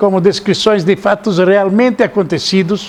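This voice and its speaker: A man is speaking. His pitch is high. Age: 80s+. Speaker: lecturer on ancient mysteries and author. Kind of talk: lecture. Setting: seated, talk to live audience. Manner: halting, repeats words.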